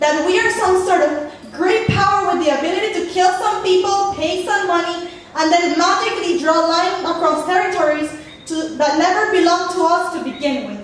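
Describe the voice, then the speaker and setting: A woman with an extremely high pitch and a Spanish accent, at a fairly quick pace, over noticeable background noise. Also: ordinary pitch variation. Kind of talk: spoken word poetry performance.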